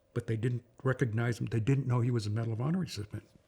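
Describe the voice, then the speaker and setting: Somewhat breathy with a dark, mellow tone, a man with an American accent speaks at a fairly quick pace. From Massachusetts (Boston). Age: 80s+. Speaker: war veteran. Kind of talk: oral history interview. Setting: at home.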